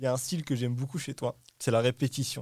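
A somewhat breathy man's voice at medium pitch. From Morocco. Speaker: podcast host. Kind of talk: casual chat.

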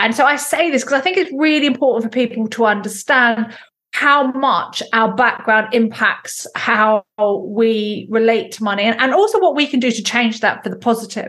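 With an English accent, a woman talks at a moderate pace in a fairly high pitch with a bright, sharp tone. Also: ordinary pitch variation. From England. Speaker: entrepreneur. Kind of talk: interview.

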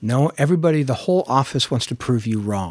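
The speech carries a Californian accent. The recording is very clean, with a silent background. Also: man. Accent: General American (California). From Los Angeles, San Fernando Valley. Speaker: record label general manager. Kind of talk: interview conversation.

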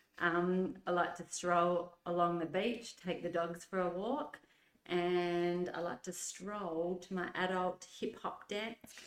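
At a very slow pace, a woman talks with a fairly low pitch and fairly even intonation. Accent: Australian. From Adelaide, South Australia. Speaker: nurse and mother of the host. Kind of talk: casual interview chat.

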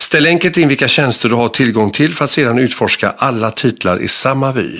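Lively intonation runs through this man's medium-pitched delivery. His is an unremarkable speaking voice. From Gothenburg, Sweden. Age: 50s. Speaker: film podcast host. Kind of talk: interview.

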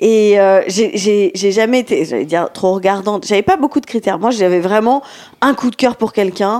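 A woman with a plain, everyday voice speaks at a fairly high pitch, with ordinary pitch variation and very even loudness, on a very clean recording with a silent background. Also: moderate pace. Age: 30s. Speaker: podcast co-host. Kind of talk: casual chat.

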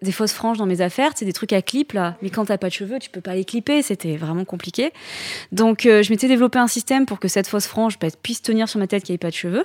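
On a very clean recording with a silent background and a dry, close sound with no echo, a woman talks at a fairly quick pace in a normal speaking voice. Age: 30s. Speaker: entrepreneur, founder of a hair-loss accessory brand. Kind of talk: interview.

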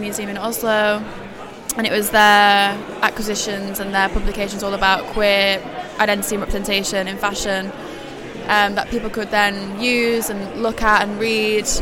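Over crowd noise in the background, a woman speaks with monotone, flat intonation. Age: 20s. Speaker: curator. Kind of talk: casual interview. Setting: live event at a book fair.

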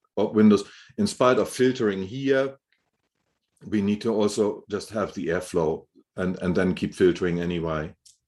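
Someone with a German accent speaks at a moderate pace with ordinary pitch variation and long, frequent pauses. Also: man, fairly low pitch for a man. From Germany, Hamburg. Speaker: building biologist, indoor air expert. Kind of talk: interview. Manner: halting, frequent repetitions.

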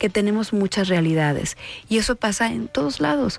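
A woman with a medium pitch and lively intonation speaks at a moderate pace, the sound dry and close with no echo. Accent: Jalisco. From Mexico, Guadalajara (Jalisco). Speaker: senator. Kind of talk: radio interview. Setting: radio studio.

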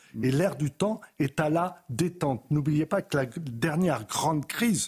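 Somewhat breathy, a man talks at a moderate pace. His intonation is lively. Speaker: historian. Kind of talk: TV debate.

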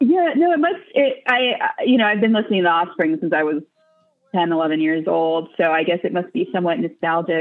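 Quick-paced and lively in intonation, a woman with an American accent talks at a fairly low pitch, her loudness very even. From US West Coast, Los Angeles. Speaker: podcast guest, music fan. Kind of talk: casual chat.

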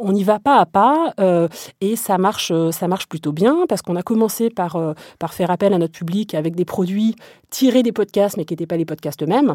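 A woman's dark, mellow voice at a medium pitch, moderate pace and lively intonation, in a very clean recording with a silent background and a dry, close sound with no echo. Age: 30s. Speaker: media company co-founder and managing director. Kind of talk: interview.

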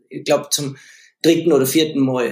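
A man is talking. His pace is moderate. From Austria, Leogang (Salzburg). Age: 40s. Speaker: professional snowboarder. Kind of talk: casual interview chat.

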